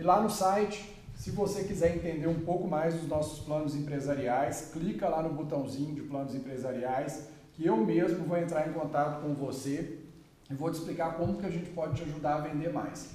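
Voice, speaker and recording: Amid noticeable background noise and audible room echo, a man speaks at a moderate pace, fairly high in pitch with ordinary pitch variation. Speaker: podcast co-host, business development. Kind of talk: interview.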